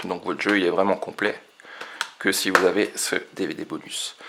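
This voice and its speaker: A man talks quietly at a moderate pace. Noticeable background noise runs under his voice. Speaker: retro game collector. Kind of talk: casual talk to camera. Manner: quiet, low voice.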